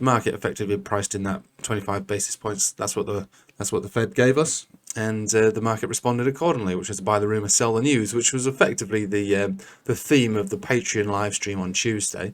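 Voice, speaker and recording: A man talks at a very fast pace with a fairly low pitch. His voice is quiet, with ordinary pitch variation. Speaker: crypto market commentator. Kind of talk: market analysis video.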